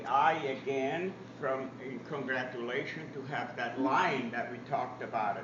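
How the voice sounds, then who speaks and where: A man speaks at a fairly slow pace, and noticeable background noise runs behind him. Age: 80s+. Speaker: professional cake decorator. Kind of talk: live demonstration talk.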